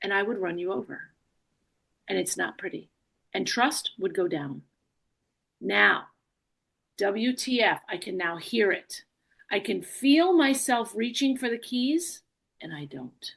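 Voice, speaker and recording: A woman speaks at a fairly slow pace with long, frequent pauses and vocal fry. Her medium-pitched voice swings very widely in pitch. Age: 60s. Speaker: leadership coach. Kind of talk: motivational talk.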